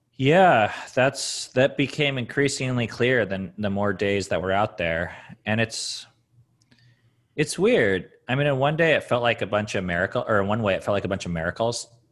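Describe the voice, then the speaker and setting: With an unremarkable speaking voice, a man talks at medium pitch and moderate pace with lively intonation. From US Pacific Northwest, Seattle area. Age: 30s. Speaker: author and thru-hiker. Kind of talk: casual interview chat.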